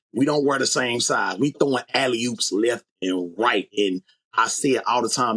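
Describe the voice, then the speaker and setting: With vocal fry, a man talks at a moderate pace in a dry, close sound with no echo. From Chicago. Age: 40s. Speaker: sneaker collector and content creator. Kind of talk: casual podcast chat.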